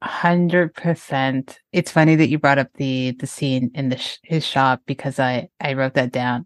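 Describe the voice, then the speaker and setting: A woman's very deep, low voice at a fairly slow pace with hardly any pauses, fairly even intonation, a quiet background and a dry, close sound with no echo. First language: French. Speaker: film podcast host. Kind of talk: casual chat.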